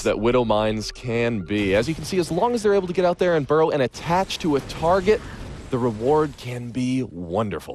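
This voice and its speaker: A man talks at a fairly quick pace and a medium pitch. His tone is excited and animated, with very wide pitch swings. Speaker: esports shoutcaster. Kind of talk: live game commentary. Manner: excited, animated.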